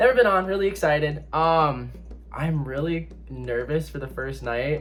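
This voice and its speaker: With audible room echo around him, a man speaks at a fairly slow pace. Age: 20s. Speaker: reality game contestant. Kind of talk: confessional video interview.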